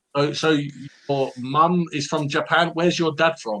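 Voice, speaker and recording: A man with a London accent speaks in a fairly high pitch with a bright, sharp tone and fairly even intonation. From London, England. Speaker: English tutor. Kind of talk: casual chat.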